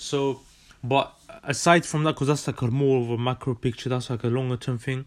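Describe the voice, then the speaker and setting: A man's medium-pitched voice with a London accent, at a fairly quick pace. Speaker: podcast host, student. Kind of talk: casual monologue. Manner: animated.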